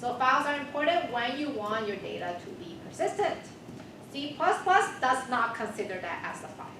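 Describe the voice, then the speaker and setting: Over noticeable background noise and audible room echo, a woman with a high pitch uses very wide pitch swings and big swings in loudness. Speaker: university instructor. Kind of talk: lecture. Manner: fast.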